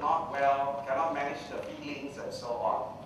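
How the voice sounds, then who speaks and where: Over light background noise and strong room echo, a man speaks at a fairly slow pace. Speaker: public speaker. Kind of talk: lecture. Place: hall.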